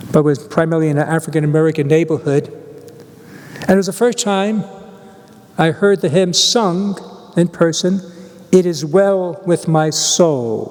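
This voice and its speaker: Pausing long and often, a man with a high pitch speaks at a moderate pace over noticeable background noise. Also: ordinary pitch variation. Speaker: priest. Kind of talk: homily; reading aloud.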